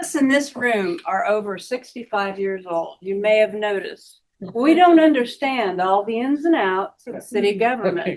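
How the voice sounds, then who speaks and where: A woman with a fairly high pitch makes very wide pitch swings at a moderate pace, with hardly any pauses. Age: 60s. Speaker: resident at town meeting. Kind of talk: public meeting comment. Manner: emphatic.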